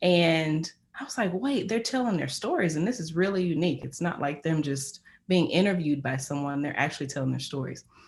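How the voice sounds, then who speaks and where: In a very clean recording with a silent background, a woman speaks with an American accent. She sounds somewhat breathy, with lively intonation at a fairly quick pace. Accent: country accent, still noticeable. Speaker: media professional sharing career story. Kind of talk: career talk to small group. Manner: casual with many fillers.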